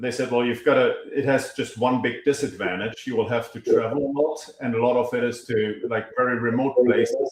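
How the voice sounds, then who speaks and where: Speaking at a fairly quick pace, the man keeps a medium pitch and a monotone, flat intonation. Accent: German. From Germany, small town. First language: German. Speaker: energy company founder and CEO. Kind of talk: podcast interview.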